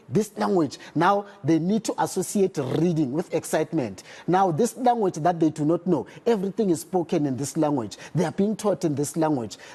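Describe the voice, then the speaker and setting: A high-pitched man with a Zulu accent, lively intonation, a moderate pace and hardly any pauses. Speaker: literacy campaign spokesperson. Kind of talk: TV news interview.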